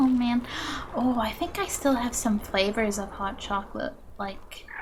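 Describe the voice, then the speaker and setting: A high-pitched woman's voice with ordinary pitch variation at a fairly slow pace, over noticeable background noise. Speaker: video game streamer. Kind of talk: casual chat while live gaming. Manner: animated.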